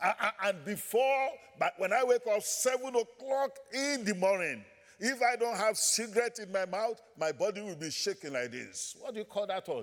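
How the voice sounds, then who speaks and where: A man with a Nigerian accent talks in an animated tone at a high pitch, his intonation lively. Noticeable background noise runs underneath. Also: moderate pace. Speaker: visiting pastor. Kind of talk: sermon. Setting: church. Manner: animated, preaching.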